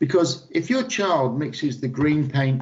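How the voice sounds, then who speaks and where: A man's somewhat breathy voice, fairly high in pitch, with lively intonation. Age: 60s. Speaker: lean manufacturing consultant. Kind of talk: interview. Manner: animated.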